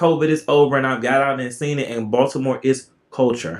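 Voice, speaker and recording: A man speaks with an Alabama accent at a fairly high pitch. His pace is moderate. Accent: Southern, Alabama. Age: 40s. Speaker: real estate agent. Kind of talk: casual chat.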